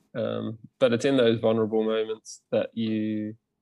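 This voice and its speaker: A man speaks with an Australian accent. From Queensland, Australia. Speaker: movement teacher and breakdancer. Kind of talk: casual interview.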